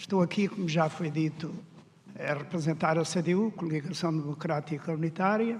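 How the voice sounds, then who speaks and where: A man's high voice, with ordinary pitch movement, comes at a fairly slow speed. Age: 70s. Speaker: political candidate, farmer. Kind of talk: debate opening statement. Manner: hesitant.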